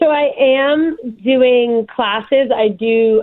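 The speaker is a woman with a New Jersey accent. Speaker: guest, concealed carry permit holder. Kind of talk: interview. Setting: remote call.

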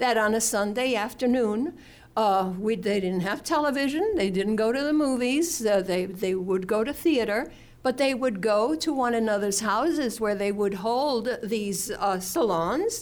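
A woman with an American accent and a normal speaking voice, fairly high in pitch, with lively intonation at a fairly slow pace. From New York. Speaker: history professor. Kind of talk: academic panel talk.

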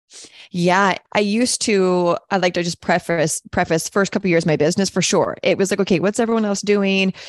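With an unremarkable speaking voice, a woman talks at a medium pitch and a fairly quick pace, her intonation fairly even and her loudness swinging widely. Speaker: coach and podcast host. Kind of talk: casual conversation.

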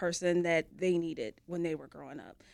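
Her pace moderate and her pitch medium, a woman talks in an ordinary speaking voice. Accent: American. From US Midwest. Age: 40s. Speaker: youth program director. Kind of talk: interview.

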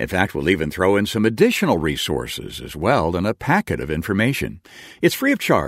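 A man talks at a fairly quick pace in a very deep, low voice with vocal fry, his pitch swinging very widely. The recording is very clean, with a silent background. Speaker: radio announcer. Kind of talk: scripted narration. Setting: studio.

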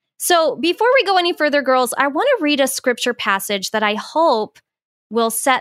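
In a very clean recording with a silent background and a dry, close sound with no echo, a woman with an American accent talks at a moderate pace. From US Southwest (Phoenix, Arizona). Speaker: podcast host and author. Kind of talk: casual chat.

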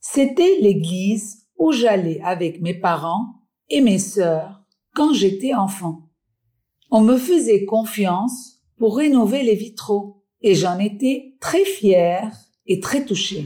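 A woman at a medium pitch speaks very slowly in a dark, mellow, somewhat breathy tone with lively intonation. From Lebanon, Beirut. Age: 60s. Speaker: stained glass artisan. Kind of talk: storytelling.

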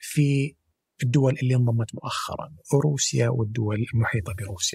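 A man speaks at a fairly slow pace with lively intonation and a somewhat breathy quality, the sound dry and close with no echo. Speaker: energy sector specialist. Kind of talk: interview.

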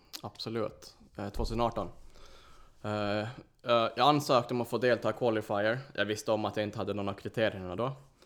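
Using an ordinary speaking voice, a man talks at a moderate pace. His pitch is fairly low and his intonation fairly even. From Åland, Finland. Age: 20s. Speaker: obstacle course racer. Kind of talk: casual chat.

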